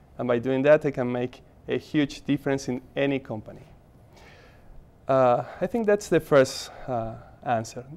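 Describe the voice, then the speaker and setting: A man with an Argentine accent, a fairly high pitch, ordinary pitch variation and long, frequent pauses. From Argentina, Buenos Aires. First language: Spanish. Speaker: MBA student, HR professional. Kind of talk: interview.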